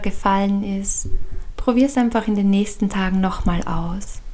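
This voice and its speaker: A woman talks in a soothing, gentle tone with fairly even intonation over noticeable background noise. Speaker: podcast host and meditation guide. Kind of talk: guided meditation. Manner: slow, soothing and gentle, with long calm pauses; soft-spoken and warm.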